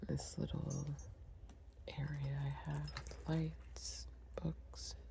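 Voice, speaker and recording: Against noticeable background noise, a woman with an American accent speaks at a very slow pace in a very deep, low pitch with fairly even intonation. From Long Island, New York. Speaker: ASMR creator. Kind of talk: ASMR coloring video. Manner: whispered.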